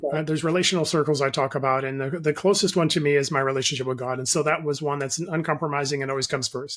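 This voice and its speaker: A man talks very fast in a fairly high voice, with hardly any pauses. His intonation is fairly even, and noticeable background noise sits underneath. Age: 60s. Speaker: life coach and author. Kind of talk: interview. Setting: remote call.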